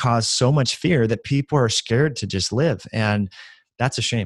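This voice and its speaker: In a very clean recording with a silent background and a dry, close sound with no echo, a man with a normal speaking voice talks at medium pitch and a fairly quick pace with lively intonation. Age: 30s. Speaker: functional medicine educator. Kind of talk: interview.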